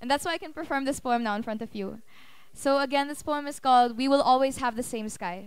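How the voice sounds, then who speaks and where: Talking at a very fast pace, a woman with a high voice shows ordinary pitch variation and big swings in loudness, with a dry sound with no echo and a quiet background. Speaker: spoken word poet. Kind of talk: casual introduction to a live audience. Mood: warm, reflective. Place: hall.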